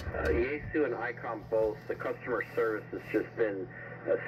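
A man is heard speaking while noticeable noise runs in the background. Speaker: ham radio operator. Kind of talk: casual radio conversation. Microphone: two way radio.

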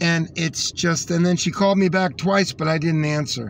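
A man is speaking here. The sound is dry with no echo, with light background noise. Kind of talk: casual vlog chat. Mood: frustrated, indignant. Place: car. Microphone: phone near.

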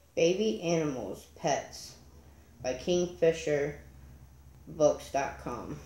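Soft-spoken and at a very slow pace, a woman talks with long, frequent pauses in a room with audible echo. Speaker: storyteller. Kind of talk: read story. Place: home room. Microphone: phone near.

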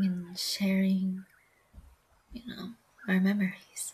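Slowly, a woman speaks with a husky, rough edge.

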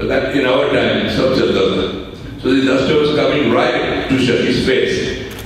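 Strong room echo and light background noise surround a man talking at a moderate pace. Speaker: guest. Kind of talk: anecdote telling to an audience. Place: hall.

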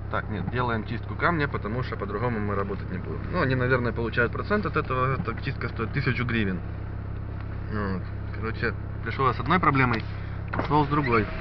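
Over noticeable background noise, a man talks very fast with ordinary pitch variation in a dry sound with no echo. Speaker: vlogger. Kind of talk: casual vlog chat. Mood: mildly annoyed, wry. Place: car. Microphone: phone near.

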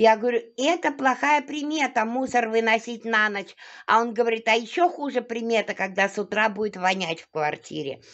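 Over a quiet background, a woman speaks at a moderate pace with big swings in loudness and very wide pitch swings. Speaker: vlogger; home cooking vlogger. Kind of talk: casual vlog talk while cooking. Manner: chatty, with many hesitations. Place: kitchen. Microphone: phone near.

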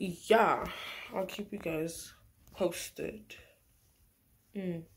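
This somewhat breathy voice moves at a very slow pace. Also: woman, medium pitch for a woman, ordinary pitch variation. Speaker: travel vlogger. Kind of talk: casual vlog talk.

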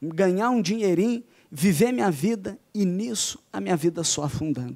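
A man's dark, mellow, high-pitched voice with lively intonation at a fairly slow pace, on a very clean recording over a silent background. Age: young. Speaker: youth pastor. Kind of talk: testimony.

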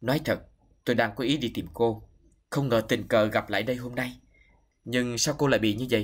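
Against a quiet background, the clip has an unforced reading voice.

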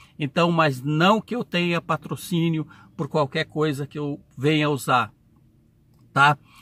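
A man with a fairly high pitch and a bright, sharp tone speaks at a very slow pace, with ordinary pitch variation. His delivery has long, frequent pauses, and the sound is dry with no echo. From Brazil. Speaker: truck driver YouTuber. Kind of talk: casual vlog Q&A. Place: car. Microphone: phone near.

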